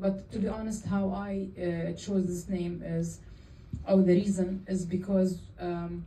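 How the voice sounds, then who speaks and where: A woman speaks at a very slow pace in a medium pitch, her intonation flat and monotone, with audible room echo. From Jordan. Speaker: film director. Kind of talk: Q&A after a film screening. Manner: halting.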